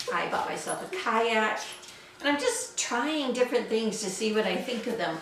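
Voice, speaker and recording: Against noticeable background noise and audible room echo, a woman talks at a fairly slow pace with a fairly high pitch. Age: 60s. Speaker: sewing vlogger. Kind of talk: casual chat. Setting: home sewing studio.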